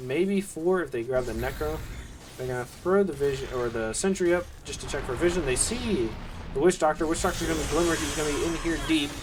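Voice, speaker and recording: A man with an American accent talks at a fairly quick pace, his pitch fairly high with ordinary pitch variation. Noticeable background noise runs underneath. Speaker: esports caster. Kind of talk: live commentary. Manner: fast, play-by-play.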